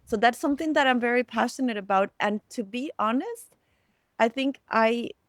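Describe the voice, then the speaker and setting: A woman with a Latin American accent speaks at a moderate pace in a high voice with ordinary pitch variation, recorded dry and close with no echo. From Costa Rica. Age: 40s. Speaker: storyteller and community builder. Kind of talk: podcast interview.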